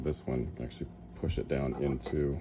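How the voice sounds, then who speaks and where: A man mumbles in a very deep, low voice. His intonation stays fairly even. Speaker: coin ring maker. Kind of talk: casual tutorial talk while working. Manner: mumbling.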